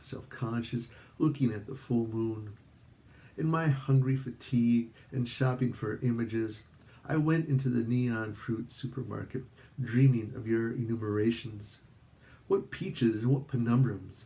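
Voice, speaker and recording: A man speaks at a medium pitch with a dark, mellow tone. His voice is somewhat breathy, and his intonation stays fairly even. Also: fairly slow pace. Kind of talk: poetry reading.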